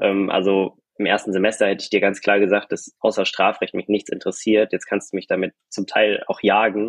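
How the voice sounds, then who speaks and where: A man speaks in a fairly low pitch with monotone, flat intonation at a moderate pace. He leaves hardly any pauses, and the sound is dry and close with no echo. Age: young. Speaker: doctoral law student. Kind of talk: casual chat. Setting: video call.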